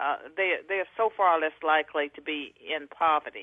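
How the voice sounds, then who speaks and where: Fairly even intonation marks this woman's speech. It is a plain, everyday voice with a fairly low pitch. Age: 60s. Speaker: author and academic. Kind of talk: radio interview.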